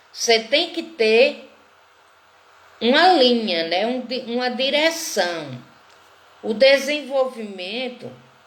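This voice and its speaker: Speaking at a very slow pace, a woman uses a high pitch and lively intonation. Noticeable background noise sits behind her. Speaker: teacher of a literature course. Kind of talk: online lecture.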